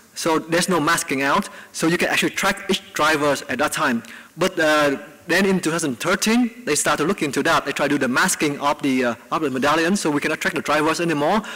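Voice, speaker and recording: At a very fast pace, a man speaks in a fairly high voice with ordinary pitch variation and very even loudness over noticeable background noise. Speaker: researcher giving invited talk. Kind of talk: Q&A after lecture.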